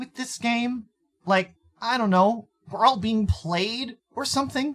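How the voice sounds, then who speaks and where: A man uses a put-on character voice pitched extremely high. He talks at a fairly slow pace. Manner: hesitant, stammering.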